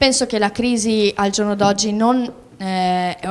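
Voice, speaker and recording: At a fairly slow pace, a woman speaks in an unremarkable speaking voice at medium pitch with fairly even intonation. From Albania. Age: young. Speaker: student on youth TV panel. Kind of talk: TV panel discussion.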